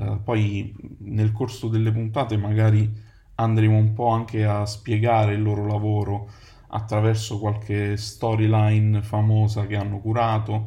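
A man's fairly low, dark, mellow voice, somewhat breathy and monotone, at a moderate pace with audible room echo. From Naples, Italy. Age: 30s. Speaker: podcast host, advertising copywriter. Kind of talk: solo podcast monologue.

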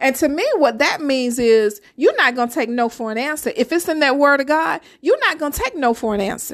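Lively intonation and an animated tone come through on a very clean recording with a silent background. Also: woman. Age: 50s. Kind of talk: sermon-style faith talk.

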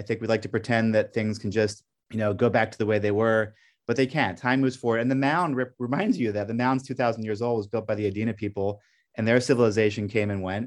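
Against a quiet background, a man talks at a very fast pace with a medium pitch and ordinary pitch variation. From Belgium (Brussels), American parents. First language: French. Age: middle-aged. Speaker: documentary filmmaker, former journalist. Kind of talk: interview.

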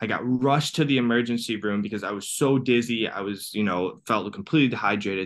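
With a Midwestern accent, a man talks at a fairly quick pace in a fairly low pitch with ordinary variation. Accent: American (Midwest). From US. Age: 30s. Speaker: cancer survivor and transformational coach. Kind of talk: interview.

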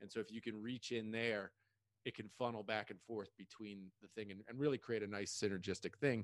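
An unremarkable speaking voice moves at a fairly quick pace with fairly even intonation, in a dry, close sound with no echo. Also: man, fairly low pitch for a man. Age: 40s. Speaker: podcast host. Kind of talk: casual interview.

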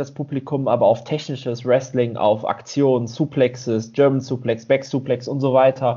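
At a moderate pace, a man talks in an ordinary speaking voice of medium pitch. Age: 30s. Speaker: podcast co-host. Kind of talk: casual chat.

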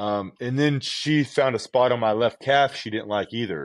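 Over a quiet background, a man talks with a West Coast US accent. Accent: General American (West Coast). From Southern California. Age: 40s. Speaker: professional natural bodybuilder and coach. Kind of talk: casual interview.

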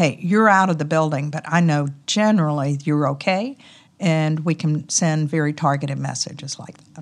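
With a Southern US accent, a woman talks at a fairly quick pace in a very deep, low pitch. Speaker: company president. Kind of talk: casual interview. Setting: conference.

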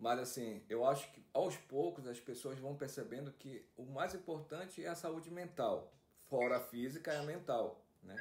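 Big swings in loudness mark this man's delivery at a moderate pace. His fairly high pitch comes with lively intonation. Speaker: podcast host. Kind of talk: casual chat. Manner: halting.

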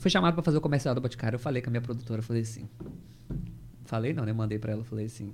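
Somewhat breathy, a man talks at a very fast pace, broken up by long, frequent pauses. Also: medium pitch for a man, ordinary pitch variation. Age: 30s. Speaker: actor and theatre school owner. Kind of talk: casual chat.

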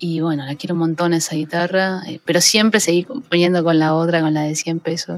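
A woman talks at a fairly quick pace in an ordinary speaking voice. Her pitch is fairly low and her intonation fairly even. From Buenos Aires suburbs, Argentina (La Matanza). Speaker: guitarist and songwriter. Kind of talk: casual interview.

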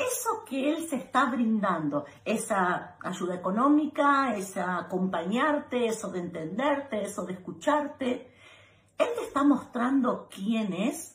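In a room with audible echo, a woman talks at a very slow pace with a high pitch and very wide pitch swings. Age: 40s. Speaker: advice video host. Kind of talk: direct-to-camera advice monologue.

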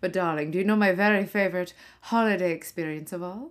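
Her tone animated and theatrical, a woman speaks at a moderate pace. Her pitch is medium, with ordinary pitch variation. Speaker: comedy podcast host playing a ghost of a 1940s film actress. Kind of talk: comic monologue in character as a 1940s movie star, performed with old-Hollywood flair. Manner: animated, campy, theatrical, arch and breezy, lots of 'darlings'; mock-glamorous with mid-Atlantic style delivery and comic asides.

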